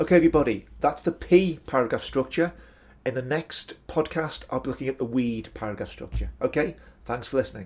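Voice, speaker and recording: A man with a medium pitch and vocal fry talks at a fairly quick pace, his loudness swinging widely and his pitch varying in an ordinary way, on a very clean recording with a silent background. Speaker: academic writing tutor. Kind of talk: educational podcast explanation. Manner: casual, conversational.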